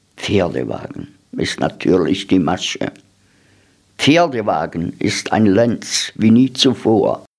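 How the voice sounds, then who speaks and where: Vocal fry marks a man's medium-pitched voice, which has lively intonation on a very clean recording with a silent background. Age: 70s. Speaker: radio host. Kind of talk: reading aloud; radio show presentation.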